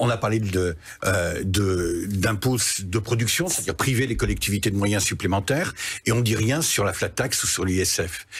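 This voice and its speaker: Somewhat breathy, a man with a southwestern French accent talks at a moderate pace with ordinary pitch variation against a quiet background. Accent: southwest French. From southwest France, Pyrénées-Atlantiques. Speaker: member of parliament; politician guest. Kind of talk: televised political debate. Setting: TV news studio. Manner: animated. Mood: critical, argumentative. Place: studio.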